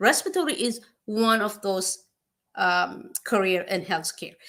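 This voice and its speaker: A woman with a non-native accent speaks with very wide pitch swings. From East Africa (Eritrea/Ethiopia). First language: not English. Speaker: nurse practitioner. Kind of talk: informal advice talk. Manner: halting, many fillers.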